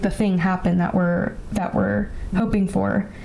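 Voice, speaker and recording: Noticeable background noise and audible room echo fill this recording of a woman. She speaks at a moderate pace with an American accent. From California, Bay Area. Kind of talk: casual chat.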